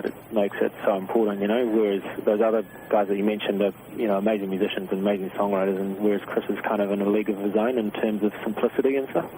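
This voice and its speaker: A man with a New Zealand accent, fairly low and monotone, flat, very fast, at very even loudness, with noticeable background noise. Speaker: singer-songwriter. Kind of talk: radio interview answer. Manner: casual, laid-back.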